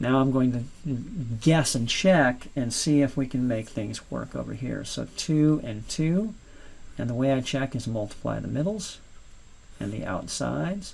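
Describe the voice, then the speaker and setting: There is audible room echo as a man of medium pitch talks at a fairly slow pace with lively intonation and long, frequent pauses. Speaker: math teacher. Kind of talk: lecture.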